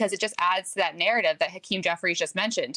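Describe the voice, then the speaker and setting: Heard in a dry, close sound with no echo, a woman speaks with a slight New Jersey accent. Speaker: political strategist. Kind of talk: TV news interview answer.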